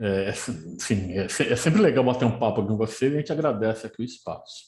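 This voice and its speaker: Somewhat breathy and dark, mellow in tone, a man's voice sits fairly low in pitch. He speaks at a moderate pace. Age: 60s. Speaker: football historian and teacher. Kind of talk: podcast interview.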